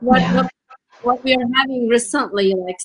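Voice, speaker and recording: A woman with a Turkish accent uses a raised, projected voice with a high pitch and a bright, sharp tone. Her intonation is lively, and the sound is dry and close with no echo. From Turkey. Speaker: marketing coach. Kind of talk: interview.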